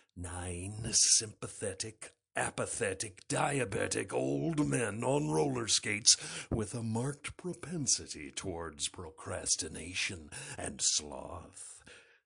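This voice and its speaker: A put-on character voice is used at a fairly slow pace. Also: man, fairly low pitch for a man. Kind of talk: movie trailer. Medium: voice reel.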